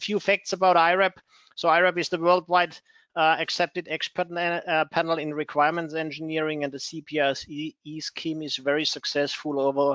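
Over a quiet background, a man speaks at a moderate pace with fairly even intonation in a dry recording with no echo. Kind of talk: webinar introduction. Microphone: video call.

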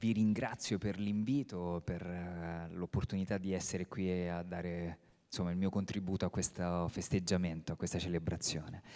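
Against a quiet background, a man speaks with a very deep, low pitch, a dark, mellow tone and fairly even intonation. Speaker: theatre director; theatre director on a panel. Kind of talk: panel talk. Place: stage. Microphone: handheld.

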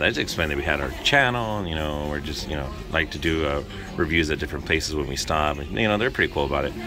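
Against noticeable background noise, a man with a very deep, low pitch speaks at a very fast pace. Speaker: food vlogger. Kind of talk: casual food review vlog. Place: cafe. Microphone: phone near.

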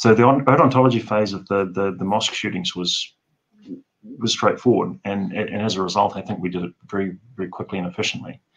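He speaks with a New Zealand accent. The man's pitch is fairly low. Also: ordinary pitch variation, fairly quick pace. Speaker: forensic odontologist; guest. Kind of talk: interview. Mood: earnest, reflective. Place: home room. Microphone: video call.

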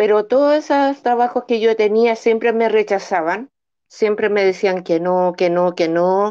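Over a quiet background, a woman speaks at a fairly slow pace in a dark, mellow tone. Her loudness stays very even, with ordinary pitch variation. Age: 40s. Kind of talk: testimony. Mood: earnest, encouraging. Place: home room. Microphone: video call.

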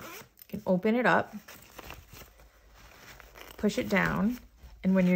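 Ordinary pitch variation and a moderate pace in a woman's voice. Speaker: art hobbyist vlogger. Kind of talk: casual haul vlog chat. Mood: cheerful, enthusiastic.

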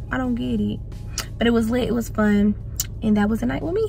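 A woman's voice sounds dry with no echo, with clear music in the background. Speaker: vlogger. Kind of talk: casual vlog chat. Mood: mildly annoyed then upbeat. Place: car. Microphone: phone near.

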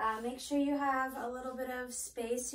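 The speech moves at a moderate pace in a monotone, flat delivery. Audible room echo surrounds it. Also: woman. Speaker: exercise instructor. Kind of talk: tutorial. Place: home room. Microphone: camera far.

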